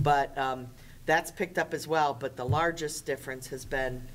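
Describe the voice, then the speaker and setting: In a very deep, low voice, a woman speaks at a moderate pace with fairly even intonation. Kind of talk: meeting report. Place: meeting room. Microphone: podium.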